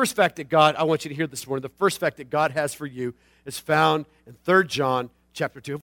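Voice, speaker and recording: A man speaks in an animated way, his pitch fairly high with ordinary variation. The tone is bright and sharp, and the sound is dry and close with no echo. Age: 40s. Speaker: pastor. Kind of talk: sermon.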